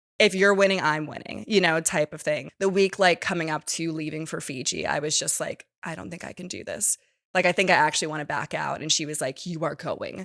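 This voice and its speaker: Speaking with an American accent, a woman keeps an animated tone at a fairly quick pace with hardly any pauses. Her pitch is fairly low, and the sound is dry and close with no echo. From New York, Manhattan. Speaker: reality TV contestant. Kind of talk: casual chat.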